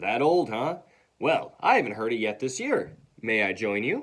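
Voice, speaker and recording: A booming, put-on character voice moves at a moderate pace with lively intonation. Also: man, medium pitch for a man. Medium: read story.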